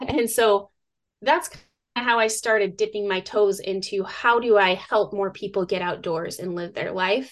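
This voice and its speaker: A plain, everyday voice, a woman with an American accent speaks at a moderate pace and medium pitch, with ordinary pitch variation and big swings in loudness. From US Northwest (northern Idaho). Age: 30s. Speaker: survivalist and outdoor educator. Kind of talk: interview.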